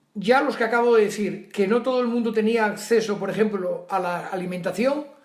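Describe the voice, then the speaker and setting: A man with a high-pitched voice speaks with ordinary pitch variation, and there is audible room echo. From Asturias, northern Spain. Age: 70s. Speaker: retired teacher. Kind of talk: interview.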